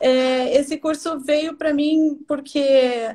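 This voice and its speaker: A woman speaks in a high pitch. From southern Brazil, Porto Alegre. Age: 40s. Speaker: professional organizer. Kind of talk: interview on live stream. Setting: Instagram live video.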